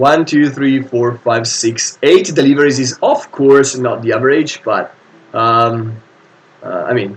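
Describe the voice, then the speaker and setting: With an Italian accent, a man speaks at a fairly slow pace and a fairly high pitch, with noticeable background noise in the recording. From Italy. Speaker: board game streamer. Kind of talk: live stream commentary. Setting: live stream. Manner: hesitant, many fillers.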